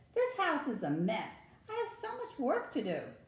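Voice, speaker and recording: A woman uses a put-on character voice, squeaky and extremely high-pitched, speaking at a moderate pace with a slight echo. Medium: read story. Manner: grumbling, put-upon.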